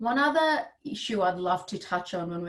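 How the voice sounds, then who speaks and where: This woman's voice has a light breathy quality. She is the one talking. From India. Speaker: gender equity advisor and board director. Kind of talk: webinar talk. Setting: video call.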